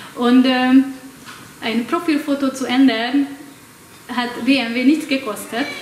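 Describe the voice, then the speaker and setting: A woman with a Hungarian accent speaks at a very slow pace, high-pitched, in a monotone, flat intonation. Audible room echo and noticeable background noise fill the recording. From Hungary. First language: Hungarian (speaking German). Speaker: academic speaker. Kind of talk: lecture. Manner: halting, many fillers.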